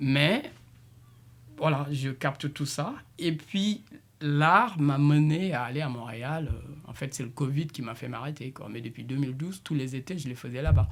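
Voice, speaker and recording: A man speaks in a Senegalese accent at a fairly slow pace. His fairly high voice is somewhat breathy, with ordinary pitch variation. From Senegal, Casamance. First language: Diola (speaking French). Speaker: multidisciplinary artist and musician. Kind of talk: radio interview. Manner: halting, with many repetitions.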